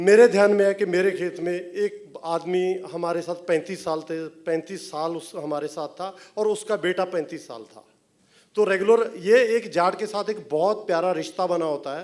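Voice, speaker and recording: A high-pitched male voice with a Punjabi accent, big swings in loudness, and ordinary pitch variation. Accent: Punjabi-tinged Hindi. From Punjab, rural. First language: Punjabi (speaking Hindi). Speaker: film director and writer. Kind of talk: stage interview. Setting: stage with audience.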